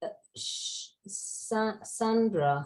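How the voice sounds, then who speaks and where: With an American accent, a woman is speaking. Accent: British, some hear American. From UK. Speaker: language education speaker. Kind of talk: webinar Q&A discussion. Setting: video call.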